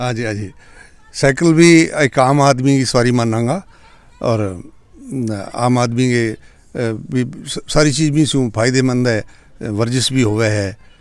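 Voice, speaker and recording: A man with a Punjabi accent speaks at a medium pitch with ordinary pitch variation. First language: Punjabi (speaking Hindi). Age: 70s. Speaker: poet and retired teacher. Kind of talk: interview.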